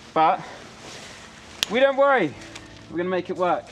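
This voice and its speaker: A man with an English accent at a moderate pace, ordinary pitch variation and music in the background. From England. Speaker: photography vlogger. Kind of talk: vlog narration. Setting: outdoors.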